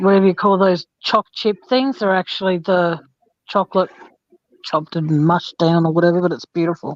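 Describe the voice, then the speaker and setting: With an Australian accent, a woman speaks at a fairly quick pace, fairly low in pitch with ordinary pitch variation, in a dry, close sound with no echo. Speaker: true crime channel host. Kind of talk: casual chat.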